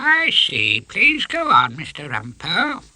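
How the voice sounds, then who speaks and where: A put-on character voice at a fairly slow pace. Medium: read story. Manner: pompous, slow.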